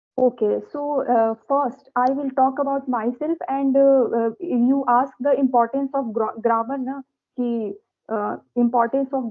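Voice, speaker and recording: Fairly even intonation in an Indian accent. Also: woman. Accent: Indian English (Hindi). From India, Uttar Pradesh. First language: Hindi. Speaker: teacher. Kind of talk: casual chat. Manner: halting, many fillers.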